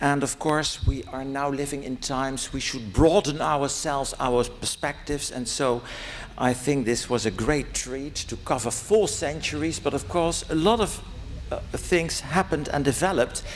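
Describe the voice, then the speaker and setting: A fairly high-pitched man with a Dutch accent, amid audible room echo. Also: ordinary pitch variation, moderate pace. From Netherlands. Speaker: academic conference participant. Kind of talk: conference Q&A question.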